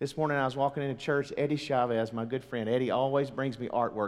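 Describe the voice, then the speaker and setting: A man's very fast delivery with a Southern US accent and fairly even intonation. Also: hardly any pauses. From US South, Mississippi. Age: 40s. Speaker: pastor. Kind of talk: sermon. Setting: church.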